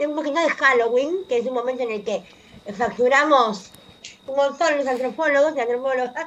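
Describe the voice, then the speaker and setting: A woman with a high pitch speaks with lively intonation against noticeable background noise. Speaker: anthropologist columnist on radio. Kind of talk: radio column talk.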